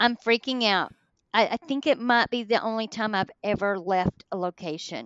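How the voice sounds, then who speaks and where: A woman with an American accent, fairly high in pitch, at a moderate pace. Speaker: paranormal investigator. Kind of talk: casual storytelling interview.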